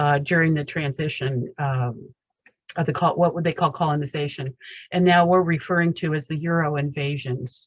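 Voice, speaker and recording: A woman talks in a very deep, low pitch with fairly even intonation. Her voice is somewhat breathy. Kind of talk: testimony. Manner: fast.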